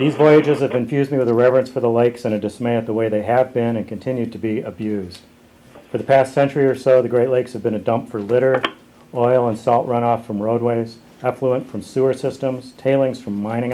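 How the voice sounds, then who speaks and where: A man with an American accent talks at a medium pitch and a fairly quick pace, his intonation flat and monotone. Noticeable noise sits in the background. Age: 60s. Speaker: canoeist and activist. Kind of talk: prepared speech. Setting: press conference.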